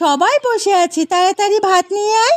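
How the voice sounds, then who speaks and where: Putting on a character voice, a woman speaks at a moderate pace in a squeaky, extremely high pitch, with a dry, close sound and no echo. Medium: cartoon. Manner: brisk, bossy.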